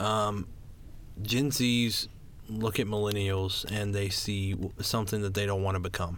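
Amid audible room echo, a man speaks fairly slowly and fairly low, with fairly even intonation and very even loudness. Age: young. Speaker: podcast co-host, college student. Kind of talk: casual chat.

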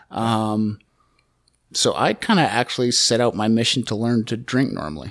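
On a very clean recording with a silent background, a man with a Canadian accent talks at medium pitch and a moderate pace. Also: ordinary pitch variation. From Calgary, Alberta, Canada. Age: 30s. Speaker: person in addiction recovery. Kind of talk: testimony. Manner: halting, many fillers.

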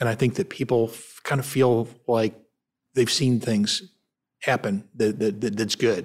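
In a very clean recording with a silent background, a man with an American accent speaks at a fairly slow pace and medium pitch, with ordinary pitch variation and big swings in loudness. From Cleveland, Ohio, US. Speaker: nonprofit foundation president, former investment banker. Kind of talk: interview. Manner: halting, repeats words.

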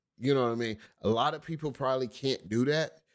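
A man speaks at a fairly quick pace in a medium pitch with ordinary pitch variation, on a very clean recording with a silent background. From US Midwest, Cleveland Heights, Ohio. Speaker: stand-up comedian. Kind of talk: casual chat. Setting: studio.

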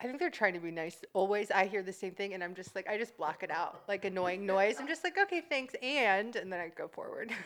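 An ordinary speaking voice with an American accent, moving at a fairly quick pace with lively intonation. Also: woman, medium pitch for a woman. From US East Coast, near Washington DC. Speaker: hairstylist and aspiring actor. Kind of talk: casual chat.

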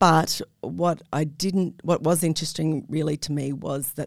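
Her voice very deep and low with vocal fry, a woman speaks with fairly even intonation. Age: 50s. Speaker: network marketing entrepreneur. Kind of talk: casual interview chat. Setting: studio.

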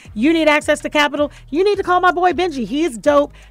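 An animated tone at a very fast pace. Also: woman. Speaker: radio talk show host. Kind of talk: live radio show, casual chat and interview. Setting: radio studio. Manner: animated, laughs often.

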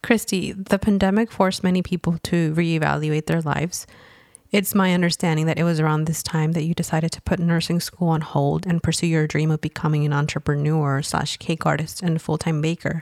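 Dry and close with no echo, the clip has a woman in an ordinary speaking voice talking at a fairly quick pace with fairly low pitch and fairly even intonation. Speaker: podcast host. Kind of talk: interview intro and questions.

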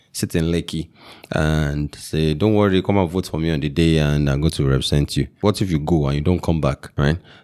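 In a Nigerian accent, a man speaks at a fairly quick pace with fairly even intonation. His voice is very deep and low, with a dark, mellow tone. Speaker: tech entrepreneur and local chief. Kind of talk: casual interview.

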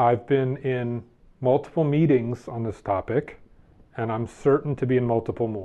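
Ordinary pitch variation and a moderate pace from a man at medium pitch, in a normal speaking voice. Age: 40s. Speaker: game company play programs director. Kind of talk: casual interview.

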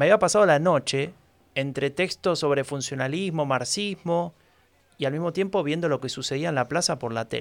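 A man with a plain, everyday voice speaks at a fairly high pitch and a fairly quick pace, with ordinary pitch variation. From Buenos Aires, Argentina. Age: 40s. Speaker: podcast host. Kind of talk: scripted narration.

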